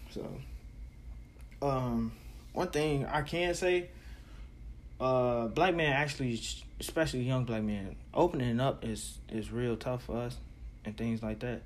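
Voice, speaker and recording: Pausing long and often, a man talks fairly slowly at a medium pitch with ordinary pitch variation. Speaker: podcaster. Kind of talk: casual monologue. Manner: soft-spoken, does not project voice; halting, filler-heavy.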